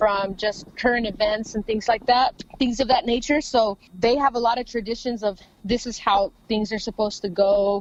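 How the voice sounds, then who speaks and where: With an American accent, a woman talks at a moderate pace in a fairly high pitch, with noticeable background noise. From Los Angeles, California. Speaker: rapper. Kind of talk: interview.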